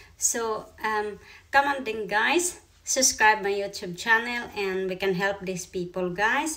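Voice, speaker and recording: With a Filipino accent, a woman talks at a fairly slow pace. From Philippines. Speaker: YouTuber. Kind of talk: casual vlog. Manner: halting. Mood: warm, friendly. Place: home room. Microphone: phone near.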